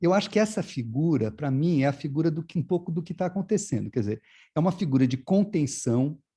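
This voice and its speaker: A man's fairly high, dark, mellow voice, fairly quick with lively intonation. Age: 60s. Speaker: visual artist. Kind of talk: interview. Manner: halting, many repetitions and fillers.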